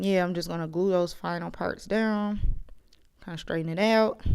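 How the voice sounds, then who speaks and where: A woman with medium pitch and an ordinary speaking voice. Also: very clean recording, silent background. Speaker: beauty vlogger. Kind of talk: casual voiceover narration of tutorial. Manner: chatty, self-deprecating.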